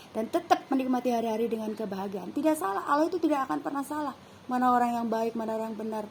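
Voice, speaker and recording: A woman with a Sundanese accent speaks at a very fast pace with hardly any pauses. Her fairly high voice has lively intonation. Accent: Sundanese-accented Indonesian. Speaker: vlogger. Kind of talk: casual monologue. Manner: casual, unpolished.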